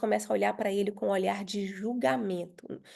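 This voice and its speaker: A woman speaks with a dark, mellow tone. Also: quiet background. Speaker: pastor leading women's devotional. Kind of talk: devotional teaching.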